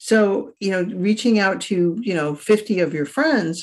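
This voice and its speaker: A woman with an ordinary speaking voice talks at medium pitch with lively intonation. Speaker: writer, podcast co-host. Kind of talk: casual chat.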